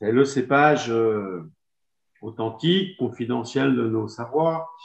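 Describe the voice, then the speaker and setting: Against a quiet background, the voice carries lively intonation. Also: man. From Savoie, France; France. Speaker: winegrower. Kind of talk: wine presentation. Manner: halting, many hesitations. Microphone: video call.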